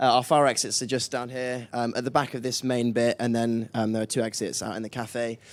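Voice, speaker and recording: At a fairly quick pace, a man talks in a normal speaking voice at a medium pitch, on a very clean recording with a silent background. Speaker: student event host. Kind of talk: event hosting.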